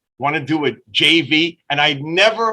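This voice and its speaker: With a New York accent, a man speaks in a bright, sharp tone with lively intonation. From Brooklyn, New York. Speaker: business owner and marketer. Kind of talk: interview storytelling. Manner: animated.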